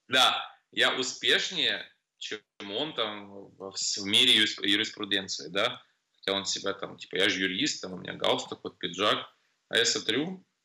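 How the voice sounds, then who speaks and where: A man with fairly low pitch and a bright, sharp tone speaks at a fairly slow pace with ordinary pitch variation. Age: 40s. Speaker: nightclub MC. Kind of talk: casual chat.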